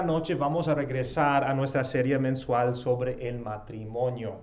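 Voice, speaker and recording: There is audible room echo and noticeable background noise as a man with a non-native accent speaks at a moderate pace. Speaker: pastor. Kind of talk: sermon. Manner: halting with fillers.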